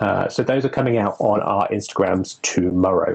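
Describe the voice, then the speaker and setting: A man speaks at a moderate pace with a fairly low pitch. There is noticeable background noise. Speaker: witch and occult herbalism presenter. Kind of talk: casual educational discussion. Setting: Instagram live video stream.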